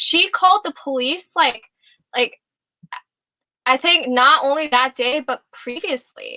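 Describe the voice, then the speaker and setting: A woman with an American accent projects a raised, high, bright and sharp voice with ordinary pitch variation. She speaks at a fairly slow pace with long, frequent pauses, in a dry, close sound with no echo. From Rochester, New York, US. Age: 20s. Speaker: music therapist. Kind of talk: casual interview chat. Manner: halting, many fillers.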